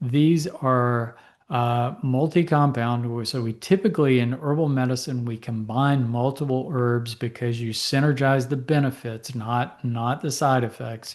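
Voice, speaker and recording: Over a quiet background, a man speaks at a fairly slow pace in an ordinary speaking voice with fairly even intonation. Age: 60s. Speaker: physician and herbal medicine educator. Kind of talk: lecture. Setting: presentation to a support group audience.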